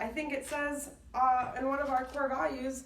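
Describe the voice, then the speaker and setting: A woman talks at a moderate pace in an upbeat tone. The room echo is audible and background noise is noticeable. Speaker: job applicant, operations employee. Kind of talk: self-recorded application video.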